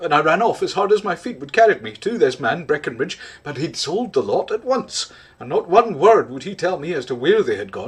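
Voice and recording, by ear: The words are read aloud in a natural voice.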